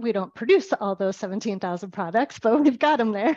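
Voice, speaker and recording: A woman with an ordinary speaking voice and a fairly high pitch speaks with lively intonation in a dry, close sound with no echo against a quiet background. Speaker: grocery sustainability manager. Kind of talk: webinar presentation.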